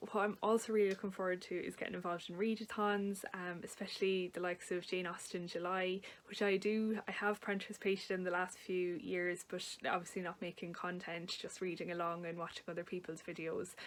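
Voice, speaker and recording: In an Irish accent, a woman talks at a fairly quick pace with hardly any pauses. Her medium-pitched voice has monotone, flat intonation. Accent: Irish, noticeable. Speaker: book vlogger. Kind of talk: casual talk to camera. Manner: hesitant, with fillers.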